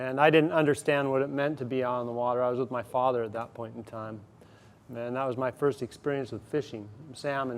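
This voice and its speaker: Speaking at a fairly quick pace with an American accent, a man at medium pitch keeps his intonation fairly even. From Swinomish Reservation, Washington, US Pacific Northwest. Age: 40s. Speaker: commercial fisherman. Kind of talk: speaker series talk. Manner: halting, many fillers.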